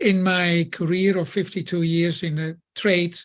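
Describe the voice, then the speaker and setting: A high-pitched man's voice, fairly even in intonation, against a quiet background. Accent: Dutch. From Netherlands. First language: Dutch. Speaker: building contractor. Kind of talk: podcast guest talk.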